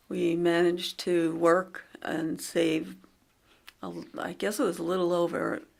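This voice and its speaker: On a very clean recording with a silent background, a woman with a Long Island accent speaks at a fairly low pitch with vocal fry and ordinary pitch variation. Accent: Long Island New York. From Long Island, New York. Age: 60s. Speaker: interviewee sharing memories. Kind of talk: casual reminiscing conversation. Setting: library recording booth.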